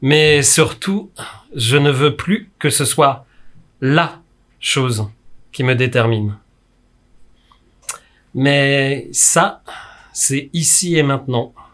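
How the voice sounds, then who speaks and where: A man's fairly high-pitched voice at a very slow pace, with ordinary pitch variation and long, frequent pauses. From France, Brittany. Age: 40s. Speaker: community educator and youth worker. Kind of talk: performed lecture on stage. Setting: live stage performance before audience.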